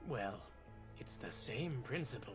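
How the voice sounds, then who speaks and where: A man puts on a character voice at a medium pitch, with music clearly audible in the background. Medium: game stream. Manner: brisk, confident.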